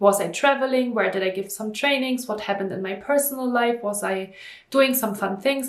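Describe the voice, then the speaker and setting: At a fairly quick pace, a woman speaks in a fairly high pitch with ordinary pitch variation, with audible room echo and noticeable background noise. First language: German. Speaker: stress management coach, entrepreneur. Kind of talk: vlog monologue to camera. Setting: talking to camera.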